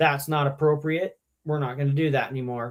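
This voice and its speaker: Putting on a gruff character voice, a man talks at a fairly quick pace in a fairly high pitch. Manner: stern, firm.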